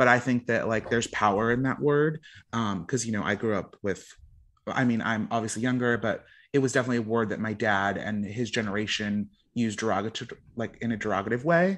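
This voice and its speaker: A man with an unremarkable speaking voice talks at a fairly quick pace, using a medium pitch and ordinary pitch variation. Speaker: podcast producer. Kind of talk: casual chat.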